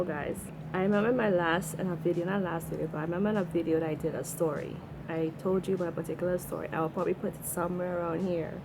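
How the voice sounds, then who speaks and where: A woman with a Trinidadian accent, fairly low-pitched, talking at a very fast pace. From Trinidad and Tobago. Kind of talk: casual storytime to camera.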